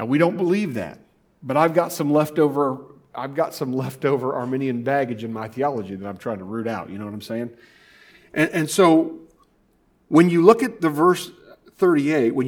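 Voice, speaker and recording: With an American accent and a plain, everyday voice, a man talks at a fairly quick pace with lively intonation and a fairly high pitch. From Indiana. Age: 40s. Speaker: pastor. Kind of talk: sermon. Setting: church.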